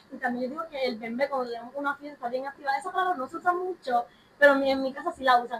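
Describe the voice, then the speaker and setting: Very fast and high-pitched, a woman speaks with ordinary pitch variation. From Puerto Rico. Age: young. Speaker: student podcast host. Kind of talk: casual discussion.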